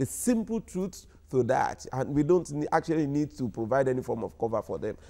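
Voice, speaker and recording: With a dark, mellow tone, the voice moves at a fairly quick pace through very wide pitch swings. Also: man, fairly high pitch for a man. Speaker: civil society anti-corruption campaigner; guest. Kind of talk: live TV panel discussion. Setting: studio. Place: studio. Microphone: lapel.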